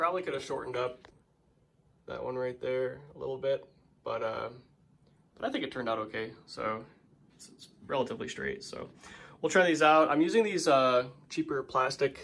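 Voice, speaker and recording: A man at a moderate pace with long, frequent pauses and big swings in loudness. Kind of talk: casual tutorial walkthrough. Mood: pleased, relaxed. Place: home room. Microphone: phone near.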